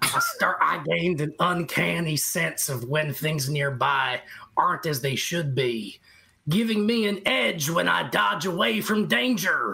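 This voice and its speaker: This put-on character voice is raspy, sits at a middle pitch, and moves at a fairly slow pace. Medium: actual play. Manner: hesitant, stammering.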